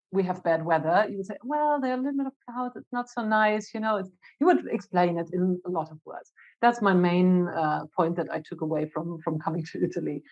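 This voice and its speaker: This voice, in a German accent, moves at a fairly quick pace with lively intonation. Its loudness swings widely. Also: woman, medium pitch for a woman. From Germany. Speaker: marketing executive. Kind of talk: podcast interview.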